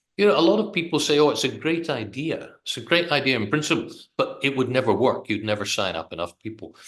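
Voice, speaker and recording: Racing at a very fast pace with hardly any pauses, a man with a fairly high pitch and vocal fry makes very wide pitch swings. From Britain. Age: 60s. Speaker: politician. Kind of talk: interview.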